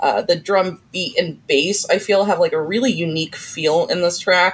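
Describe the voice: A woman's low-pitched voice with a slightly husky edge.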